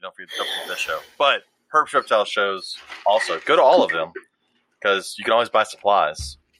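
A man speaks with long, frequent pauses. His loudness swings widely. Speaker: podcast host. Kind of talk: casual chat. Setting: studio.

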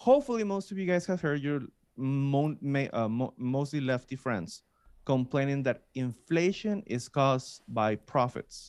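An unremarkable speaking voice with lively intonation comes through over a quiet background. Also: man. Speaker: podcast co-host.

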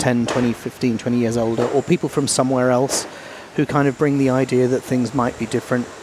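Noticeable background noise sits under speech at a moderate pace with monotone, flat intonation. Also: man. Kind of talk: casual interview. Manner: humorous.

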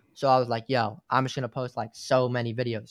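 A man with an American accent talks at a medium pitch. The recording is very clean with a silent background and a dry, close sound with no echo. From New York. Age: 20s. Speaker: gaming content creator. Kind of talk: casual chat.

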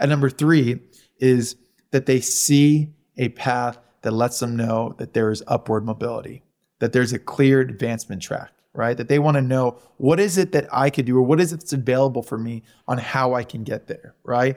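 At a moderate pace, a man with an unremarkable speaking voice speaks at medium pitch with ordinary pitch variation. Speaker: company founder. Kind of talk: interview.

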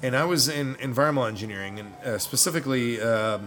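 Someone with an American accent talks very fast with ordinary pitch variation. Audible room echo and noticeable background noise are present. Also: man. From New York. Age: 40s. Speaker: brewing instructor and military veteran. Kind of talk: casual interview. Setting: bottle shop.

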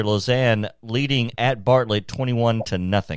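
A man talks at a medium pitch with ordinary pitch variation, an unremarkable speaking voice. The background is quiet. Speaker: radio station announcer reading sponsors and scores.

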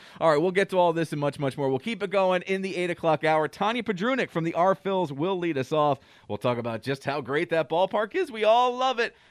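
A man speaks very fast in an upbeat tone, his fairly high voice dry and close with no echo against a quiet background. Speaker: radio host. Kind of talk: radio DJ patter, morning show banter. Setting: radio studio. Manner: upbeat, chatty, quick-paced with jokes and laughter.

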